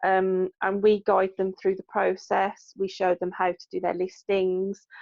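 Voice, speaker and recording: A woman speaks fairly slowly and monotonously, with flat intonation, in a dry, close sound with no echo. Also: medium pitch for a woman. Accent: West Midlands. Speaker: NHS worker and craft business owner. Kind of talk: casual interview chat.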